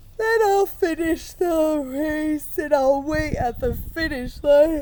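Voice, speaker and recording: Using a put-on character voice, a woman talks at a fairly slow pace in a high pitch, with clear background noise behind her. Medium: read story. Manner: boastful.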